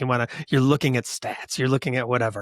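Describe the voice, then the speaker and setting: Speaking with a Western New York accent, a man talks at a fairly high pitch. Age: 60s. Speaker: podcast host. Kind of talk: interview conversation.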